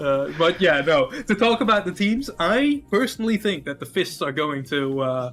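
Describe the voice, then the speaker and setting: A man with a high pitch and a Dutch accent, very wide pitch swings, a moderate pace and hardly any pauses. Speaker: esports caster. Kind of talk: casual chat.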